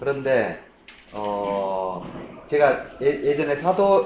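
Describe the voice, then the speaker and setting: Over noticeable background noise and audible room echo, a man speaks at medium pitch. His pitch swings very widely. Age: 50s. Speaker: Bible teacher. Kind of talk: lecture. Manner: halting, many fillers and repetitions.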